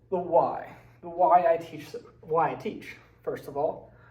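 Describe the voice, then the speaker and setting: A man with an American accent speaks at a high pitch amid noticeable background noise and audible room echo. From West Virginia, Braxton County. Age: 20s. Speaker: social studies teacher. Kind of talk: personal presentation / slideshow talk. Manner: casual, with fillers and hesitations.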